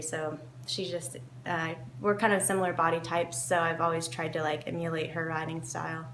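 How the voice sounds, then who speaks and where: A woman with an American accent talks at a fairly quick pace. Audible room echo and noticeable background noise surround her voice. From US South, Kentucky. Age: 20s. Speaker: professional event rider. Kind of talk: interview. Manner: hesitant, many fillers.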